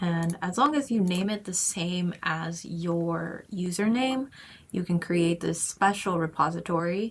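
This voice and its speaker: At a fairly slow pace, a woman speaks in a somewhat breathy, fairly low voice with ordinary pitch variation. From Japan (Tokyo). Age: 20s. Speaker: YouTuber, job-seeking developer. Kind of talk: screen-share tutorial vlog. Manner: casual, conversational.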